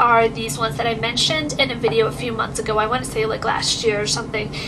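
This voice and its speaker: There is noticeable background noise. A woman speaks with a fairly high pitch. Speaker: beauty vlogger. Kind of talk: casual talk to camera.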